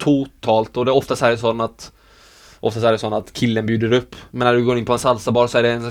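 At a medium pitch and a fairly quick pace, a man talks in a normal speaking voice. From Sweden. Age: 20s. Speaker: professional dancer. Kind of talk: interview.

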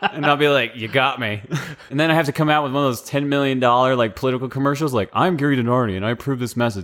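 The pace is very fast. A man at medium pitch speaks with ordinary pitch variation. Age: 30s. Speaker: army veteran and history student. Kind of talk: casual chat.

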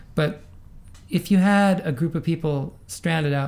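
With an American accent, a man speaks in a somewhat breathy voice with ordinary pitch variation. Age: 60s. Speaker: running coach. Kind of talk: interview.

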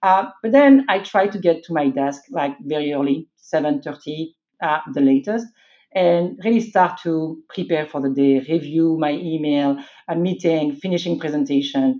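The speaker has a French accent and lively intonation. The pace is moderate. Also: woman, very deep, low pitch for a woman. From France. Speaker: IT executive. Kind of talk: interview.

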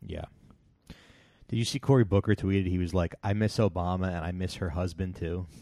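A man's very deep, low voice with a dark, mellow tone, a fairly quick pace, long and frequent pauses, and a very clean recording over a silent background. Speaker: podcast host. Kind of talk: casual chat. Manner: loud.

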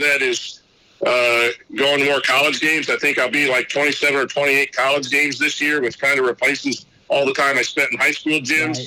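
Against noticeable background noise, a man with an American accent talks at a moderate pace in a fairly high pitch, his intonation monotone and flat and his loudness very even. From Indiana, US Midwest. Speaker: basketball coach and teacher, podcaster. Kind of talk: casual interview chat.

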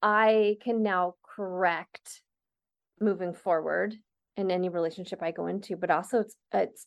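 A woman speaks in a plain, everyday voice at a medium pitch and moderate pace with fairly even intonation. The sound is dry and close with no echo, over a quiet background. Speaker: sexologist and co-host. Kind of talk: casual conversation.

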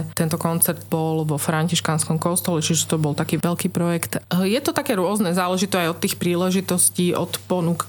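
A woman with a fairly low voice talks at a fairly quick pace with hardly any pauses, very even loudness and ordinary pitch variation, over noticeable background noise. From Slovakia, Trnava. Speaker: children's choir director. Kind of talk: radio interview. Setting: radio studio.

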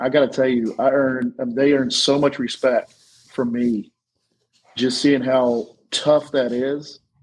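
A man with an unremarkable speaking voice talks at a fairly slow pace and a medium pitch. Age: 40s. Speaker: podcast guest. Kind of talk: casual chat.

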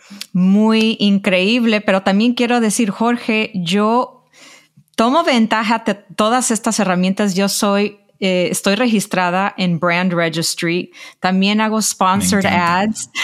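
Very slowly and at very even loudness, a woman speaks at medium pitch with ordinary pitch variation. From Los Angeles, Mexican-American. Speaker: journalist and publisher. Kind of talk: interview. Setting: call.

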